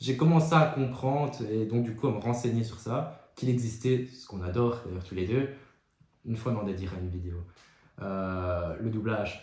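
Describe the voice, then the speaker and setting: A man's somewhat breathy, medium-pitched voice at a moderate pace, with big swings in loudness and audible room echo. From Belgium. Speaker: podcast co-host. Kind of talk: casual chat.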